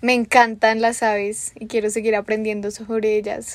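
Monotone and flat in intonation, a woman talks in a fairly high pitch. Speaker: podcast host. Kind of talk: interview.

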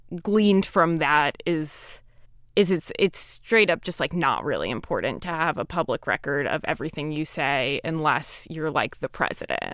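A woman speaks at a fairly slow pace in a normal speaking voice, fairly low in pitch with lively intonation, on a very clean recording with a silent background. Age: 20s. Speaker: writer. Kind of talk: interview. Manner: casual, filler-heavy.

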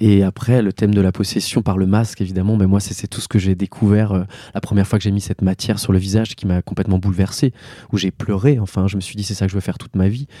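Very fast and monotone, a man speaks with flat intonation at a fairly low pitch. His tone is dark and mellow, with a dry, close sound and no echo. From Alsace, France. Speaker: actor and theatre director. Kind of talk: interview. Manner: hesitant, many fillers.

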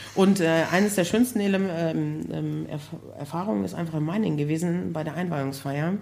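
In a room with audible echo, a woman with a very deep, low voice talks fairly quickly with lively intonation. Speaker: construction project manager for care homes. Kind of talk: casual interview. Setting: live recording with audience.

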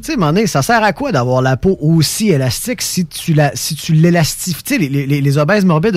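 In a Quebec accent, a man talks at a fairly high pitch with lively intonation and an animated tone. Noticeable background noise runs behind him. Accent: Québécois French. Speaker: radio host. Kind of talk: casual chat. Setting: studio.

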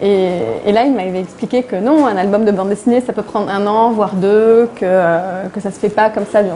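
Noticeable background noise sits behind this recording. A woman with a fairly high pitch speaks at a moderate pace. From Lebanon, Beirut. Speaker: comic book author. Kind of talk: public interview. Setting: event with live audience. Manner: halting, many repetitions.

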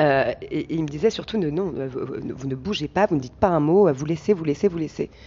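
A woman speaks at a very deep, low pitch with ordinary pitch variation. Her pace is fairly quick. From Paris region, France (Val d'Oise). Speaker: stand-up comedian. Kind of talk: interview. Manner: halting, many repetitions.

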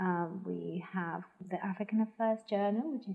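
Speed stays moderate throughout. The rise and fall of the voice is fairly even. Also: woman. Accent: Spanish. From Spain, Madrid. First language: Spanish. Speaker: arts organisation programme head. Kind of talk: interview. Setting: at home. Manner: hesitant, many fillers.

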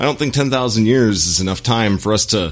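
A man with a plain, everyday voice, fairly low in pitch, with lively intonation. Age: middle-aged. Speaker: actor and former military man. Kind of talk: casual chat.

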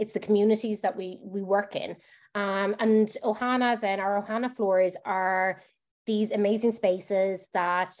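In a Limerick accent, a woman speaks at a moderate pace over a quiet background. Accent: Irish (Limerick). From Ireland, Limerick. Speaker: HR director. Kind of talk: podcast interview.

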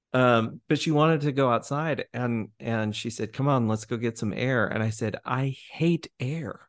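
A man talks at a fairly slow pace and a medium pitch, with ordinary pitch variation and hardly any pauses. The sound is dry and close with no echo, over a quiet background. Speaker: podcast host. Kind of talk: casual interview. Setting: studio. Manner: halting, casual, with fillers.

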